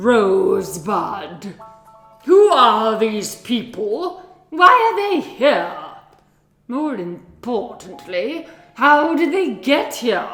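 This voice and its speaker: In a put-on character voice pitched fairly high, with very wide pitch swings, the speaker talks at a very slow pace over faint background music. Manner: softer, queenly.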